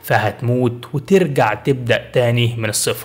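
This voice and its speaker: A man with an Egyptian accent, with noticeable background noise behind him. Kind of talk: motivational self-help narration. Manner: encouraging, storytelling.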